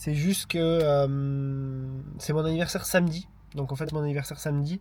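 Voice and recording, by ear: The intonation is fairly even. The tone is slightly mellow. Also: man, fairly high pitch for a man, moderate pace.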